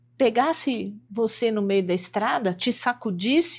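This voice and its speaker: This is a woman speaking. Her pace is fairly slow. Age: 60s. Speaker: homeopathic doctor; interview guest. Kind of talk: interview. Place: studio.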